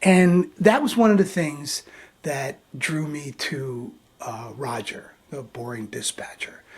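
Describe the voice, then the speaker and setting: A somewhat breathy man at a very slow pace, with lively intonation. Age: 60s. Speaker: video blogger. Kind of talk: vlog tribute monologue. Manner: halting, many fillers and repetitions.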